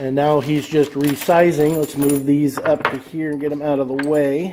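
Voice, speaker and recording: A man speaks at a moderate pace in a fairly high pitch. Noticeable background noise runs underneath. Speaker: gun reloading channel host. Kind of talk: tutorial. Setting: indoors at a reloading bench. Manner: casual, with hesitations.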